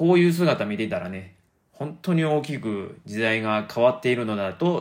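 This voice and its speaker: A man with a Kansai accent speaks with lively intonation. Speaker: podcaster. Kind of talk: casual monologue.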